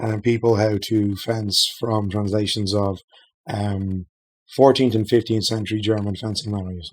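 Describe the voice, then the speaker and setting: A man with an Irish accent talks at a moderate pace in a fairly low pitch with monotone, flat intonation, in a very clean recording with a silent background. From Ireland, Dublin. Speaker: game designer. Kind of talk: casual chat. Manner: hesitant with many fillers.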